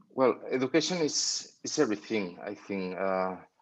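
A man speaks with a Spanish accent. His voice is fairly low, and the background is quiet. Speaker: grooming products company owner. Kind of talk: interview. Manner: halting, frequent word repetition.

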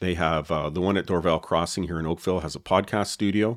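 Over a very clean recording with a silent background, a man with a Canadian accent speaks at a fairly quick pace in a very deep, low pitch with fairly even intonation. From Canada.

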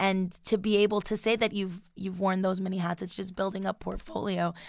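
An American accent at a moderate pace with ordinary pitch variation, in a very clean recording with a silent background. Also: woman. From Long Island, New York, US. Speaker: college student and R&B singer. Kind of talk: casual chat. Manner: halting, many fillers.

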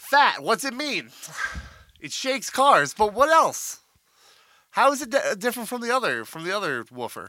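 In a raised, projected voice, a man speaks with a playful, bright, sharp tone, extremely high pitch, lively intonation, big swings in loudness, and long, frequent pauses. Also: moderate pace. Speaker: podcast co-host. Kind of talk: casual banter podcast chat. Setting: studio. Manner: joking, playful.

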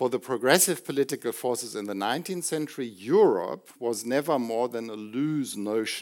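The recording is very clean, with a silent background. A man with a German accent speaks at a moderate pace. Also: medium pitch for a man, ordinary pitch variation. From Germany. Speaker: professor. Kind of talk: lecture. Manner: formal.

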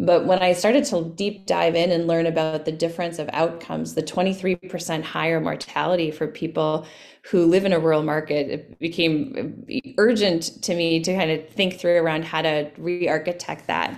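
A woman speaks at a moderate pace with fairly low pitch and ordinary pitch variation. She has an ordinary speaking voice. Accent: American. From US Midwest, Winona, Minnesota. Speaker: physician and healthcare company CEO. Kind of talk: interview.

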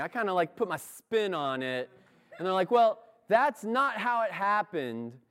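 A man speaks at a moderate pace in a high voice, his pitch swinging very widely. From US, moved around (incl. Kansas). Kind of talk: sermon. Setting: church.

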